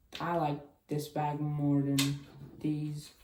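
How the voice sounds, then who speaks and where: Very deep, low pitch from a woman, with audible room echo and noticeable background noise. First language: Chinese. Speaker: cube unboxing youtuber. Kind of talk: casual unboxing video. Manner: casual, thinking aloud.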